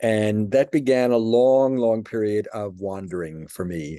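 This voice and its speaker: Dark, mellow tone from a man with an American accent, fairly low in pitch, fairly slow in pace, and ordinary in pitch variation. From New York City, Brooklyn. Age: 70s. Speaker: person giving religious testimony. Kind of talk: testimony.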